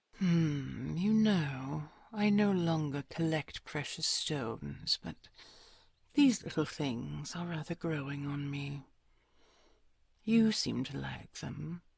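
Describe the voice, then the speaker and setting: In a put-on character voice at a low-to-middle pitch, the speaker goes at a very slow pace with long, frequent pauses, on a very clean recording with a silent background. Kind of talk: audio roleplay.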